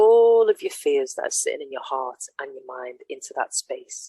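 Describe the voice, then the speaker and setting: Fairly slow speech with an English accent and a dry, close sound with no echo. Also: woman. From England. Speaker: mentor / workshop co-host. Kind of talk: casual chat.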